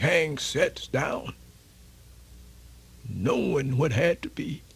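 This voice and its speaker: This put-on character voice is raspy. It moves at a very slow pace. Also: man, fairly high pitch for a man. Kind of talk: radio theatre folktale performance. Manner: folksy, animated.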